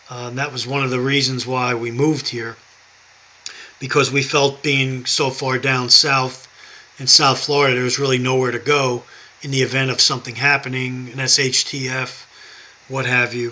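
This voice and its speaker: At a moderate pace and medium pitch, a man talks in a New York accent with monotone, flat intonation over noticeable background noise. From New York, Westchester County. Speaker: YouTuber, prepping and Bible channel. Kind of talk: personal vlog monologue. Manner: halting.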